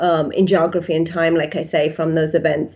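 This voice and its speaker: The speaker has an English accent and moves at a fairly quick pace. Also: woman. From England. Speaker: psychiatrist. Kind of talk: interview. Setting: podcast.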